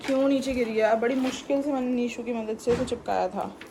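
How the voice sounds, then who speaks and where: Noticeable background noise behind a woman's fairly high voice, fairly even intonation, moderate pace. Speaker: vlogger and student. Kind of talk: casual vlog monologue. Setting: in her room.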